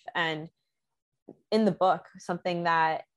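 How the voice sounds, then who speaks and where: A woman with a plain, everyday voice speaks at a moderate pace, her fairly low pitch held to fairly even intonation. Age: 20s. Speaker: poet and musician. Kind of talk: interview conversation.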